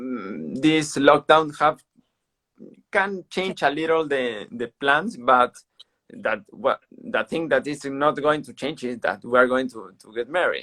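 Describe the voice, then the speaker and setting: A man with a Peruvian accent speaks at a fairly slow pace and fairly high pitch, with lively intonation and big swings in loudness. His tone is bright and sharp, and the sound is dry and close with no echo. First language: Spanish. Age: 30s. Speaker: para-athlete. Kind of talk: interview. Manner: halting.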